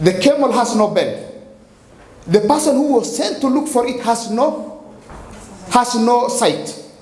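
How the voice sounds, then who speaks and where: A man with an African accent speaks at a fairly slow pace, his pitch extremely high with ordinary variation. Noticeable background noise and audible room echo fill the recording. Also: long, frequent pauses. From Kenya. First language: Somali. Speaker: poet and playwright. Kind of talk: spoken-word performance with explanation. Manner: halting, repetitive.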